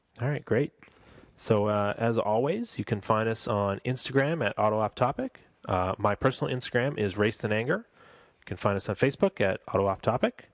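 A man with a plain, everyday voice talks at a fairly quick pace and a medium pitch, with ordinary pitch variation. The sound is dry and close with no echo, over a quiet background. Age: 30s. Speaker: car podcast host. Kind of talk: casual chat. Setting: home studio.

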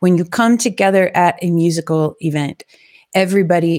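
A woman with an ordinary speaking voice, fairly low in pitch, with fairly even intonation at a moderate pace. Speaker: podcast host and DJ. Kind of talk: casual solo livestream talk. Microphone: testing new gear and settings.

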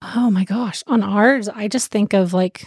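A woman speaks at a medium pitch in a plain, everyday voice. Her intonation is fairly even, and the sound is dry and close with no echo. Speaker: podcast co-host. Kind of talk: casual interview.

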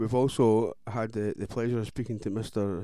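A man with a Scottish accent speaks at a moderate pace in a medium pitch. His tone is dark and mellow, and his intonation stays monotone and flat. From Scotland. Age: 30s. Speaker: radio host. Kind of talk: casual chat. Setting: studio.

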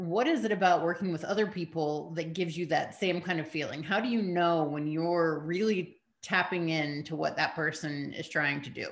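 A woman with a plain, everyday voice speaks at a fairly low pitch and a moderate pace, with ordinary pitch variation and hardly any pauses. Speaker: podcast host. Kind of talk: interview conversation. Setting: video interview.

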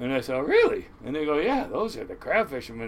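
Someone with an American accent speaks very fast over noticeable background noise. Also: man. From Washington State (Kent). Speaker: commercial crab fisherman. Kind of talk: casual storytelling interview. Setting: on a boat.

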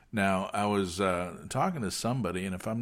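In a very clean recording with a silent background, a man with a fairly low pitch uses a normal speaking voice at a moderate pace. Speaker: podcast host. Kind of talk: interview conversation.

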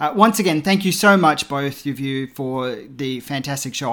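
In an Australian accent, a man speaks at a moderate pace with a fairly high pitch and ordinary pitch variation. The recording is very clean, with a silent background. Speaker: film podcaster. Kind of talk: recorded tribute message.

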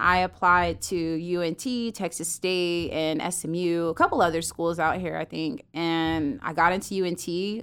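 With an American accent, a woman speaks in an ordinary speaking voice at a fairly low pitch, with ordinary pitch variation, a moderate pace and hardly any pauses, in a very clean recording with a silent background. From US South, Fayetteville, North Carolina. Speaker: photographer and content producer. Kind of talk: interview. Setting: studio.

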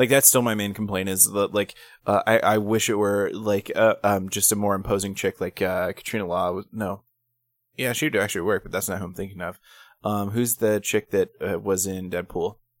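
In a very clean recording with a silent background and a dry, close sound with no echo, a man talks at a moderate pace in an unremarkable speaking voice, fairly low in pitch, with fairly even intonation. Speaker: podcast co-host. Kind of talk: casual chat. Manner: profane, joking.

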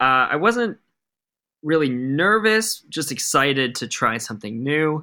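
A man talks at a fairly slow pace with a fairly high pitch and a bright, sharp tone. His pitch swings very widely. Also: very clean recording, silent background. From Rhode Island. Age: 30s. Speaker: music supervisor and drummer. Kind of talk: interview conversation.

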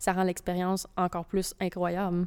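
On a very clean recording with a silent background, a woman of medium pitch speaks at a fairly quick pace. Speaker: podcast co-host. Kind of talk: sponsor read; casual chat.

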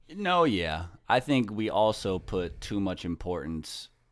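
This is a man with a normal speaking voice, fairly low in pitch. He talks at a fairly slow pace over a very clean recording with a silent background. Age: 30s. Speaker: podcast host. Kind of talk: casual chat.

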